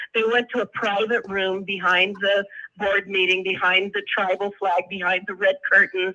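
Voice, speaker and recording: At a moderate pace, a woman speaks at a medium pitch with a monotone, flat intonation. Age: old. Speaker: activist and poet. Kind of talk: casual chat. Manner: halting.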